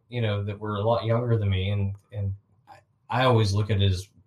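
Somewhat breathy, a man talks at a moderate pace and fairly low pitch. His intonation is flat and monotone. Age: 40s. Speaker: podcast co-host. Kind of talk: casual chat.

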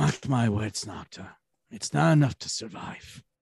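A man's put-on character voice at a moderate pace, dry and close with no echo. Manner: defiant, principled.

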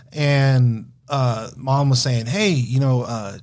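This is a man with a normal speaking voice. He has an American accent and a medium pitch. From Wyoming and Denver, US Mountain West. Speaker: bartender. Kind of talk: casual chat.

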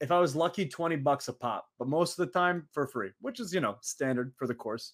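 A man with an American accent speaks at a fairly quick pace in a plain, everyday voice, with ordinary pitch variation on a very clean recording with a silent background. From Saudi Arabia. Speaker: professional wrestler. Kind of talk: casual interview.

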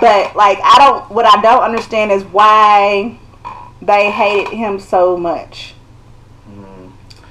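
A woman speaks at a very slow pace with big swings in loudness. Noticeable background noise runs behind her. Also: medium pitch for a woman, fairly even intonation. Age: 30s. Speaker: skincare product maker. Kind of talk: casual chat.

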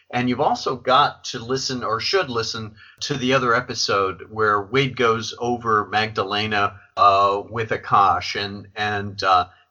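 At a moderate pace, a man with a plain, everyday voice talks in a fairly low pitch with fairly even intonation. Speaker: podcast host. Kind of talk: interview.

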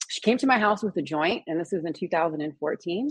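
A woman with an ordinary speaking voice talks at a fairly quick pace, her fairly low pitch carrying lively intonation. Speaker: cannabis nurse. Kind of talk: interview. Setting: video call.

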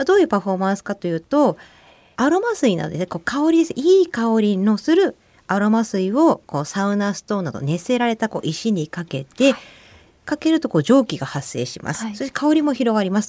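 Fairly high-pitched woman's voice with a dark, mellow tone, very wide pitch swings and fairly quick pace. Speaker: nurse and men's health educator. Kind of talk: radio interview.

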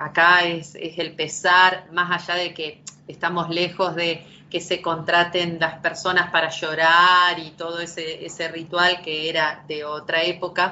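A woman speaks in a fairly low pitch with an Argentine accent and a monotone, flat intonation. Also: fairly slow pace. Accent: Argentine Spanish (Rioplatense, voseo). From Argentina. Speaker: poet and novelist. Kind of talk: interview conversation. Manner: hesitant, many fillers and repetitions.

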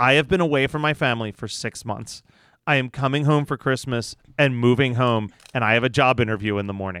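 Man of medium pitch, fairly quick pace, an ordinary speaking voice. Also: ordinary pitch variation. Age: 30s. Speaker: podcast co-host. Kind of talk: casual chat.

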